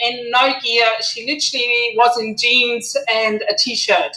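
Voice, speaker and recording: A woman with a German accent speaks at a high pitch and a fairly slow pace. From Germany. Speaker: gear company founder, motorcyclist. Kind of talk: talk to online community.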